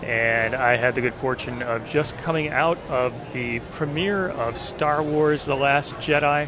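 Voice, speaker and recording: With music in the background, a man speaks in fairly even intonation, the sound dry with no echo. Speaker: fan vlogger. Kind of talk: casual vlog chat. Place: street. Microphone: phone near.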